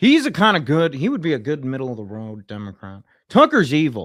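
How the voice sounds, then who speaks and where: Recorded very cleanly against a silent background, a man with a fairly high pitch speaks with very wide pitch swings. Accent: American. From New Jersey. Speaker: political livestreamer. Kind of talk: live stream commentary. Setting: livestream. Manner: casual, halting with fillers.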